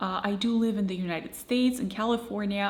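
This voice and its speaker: A woman speaks at a medium pitch. The room echo is audible, and background noise is noticeable. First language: Russian. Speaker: language learning vlogger. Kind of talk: casual vlog monologue.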